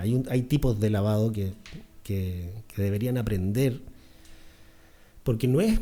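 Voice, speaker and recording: A man speaks with a Chilean accent. His tone is dark and mellow. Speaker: dentist. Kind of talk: podcast interview.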